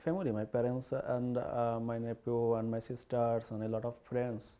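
Speaking fairly slowly with a Bengali accent, a man has a medium pitch and a dark, mellow tone. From Bangladesh (Barisal). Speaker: poet and writer in exile. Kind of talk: interview. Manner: halting.

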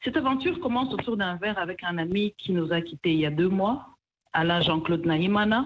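An unremarkable speaking voice from a woman, medium-pitched, fairly quick, with lively intonation. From DR Congo, Kivu. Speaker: restaurant co-owner. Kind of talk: radio interview.

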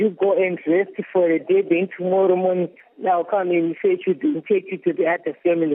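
In a Zimbabwean accent, a woman speaks at a fairly quick pace and medium pitch, with ordinary pitch variation and very even loudness. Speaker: trafficking victim. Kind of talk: testimony. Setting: shelter in Kuwait, remote.

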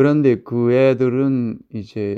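A man speaks with fairly even intonation. His pitch is medium. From North Korea. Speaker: North Korean defector, father. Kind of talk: interview storytelling.

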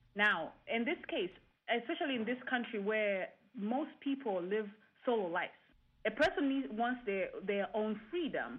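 A woman with an ordinary speaking voice, fairly high in pitch, with lively intonation at a moderate pace. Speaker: engineer professor. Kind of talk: radio panel discussion.

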